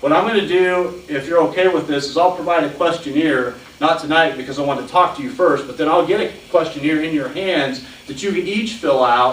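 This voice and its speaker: Lively intonation from a man with a fairly high voice, amid noticeable background noise and audible room echo. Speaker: city administrator and hiring consultant. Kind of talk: presentation at a public board meeting. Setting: county board meeting room. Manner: fast.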